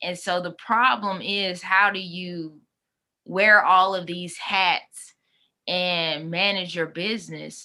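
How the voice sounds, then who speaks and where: Speaking at a very slow pace in a Southern US accent, the voice keeps a fairly even intonation. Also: woman, medium pitch for a woman. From US South, Mississippi. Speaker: life coach and consultant. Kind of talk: casual interview. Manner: conversational, many fillers.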